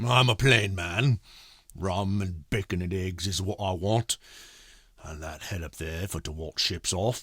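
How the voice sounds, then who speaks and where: A raspy, put-on character voice at a moderate pace, with big swings in loudness and a dry, close sound with no echo. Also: man, very deep, low pitch for a man. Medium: read story. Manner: rough, coarse.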